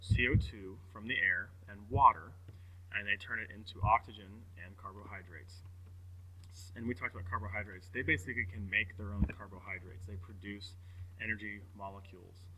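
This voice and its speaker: A man's fairly low, somewhat breathy voice with fairly even intonation, big swings in loudness, and long, frequent pauses. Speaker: teacher. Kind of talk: recorded lecture. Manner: fast; casual, hesitant with fillers.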